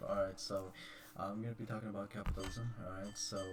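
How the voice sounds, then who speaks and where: At a very fast pace, a man talks in a flat monotone at a fairly low pitch, with audible room echo around him. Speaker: gaming YouTuber. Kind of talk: tutorial. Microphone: poor voice quality.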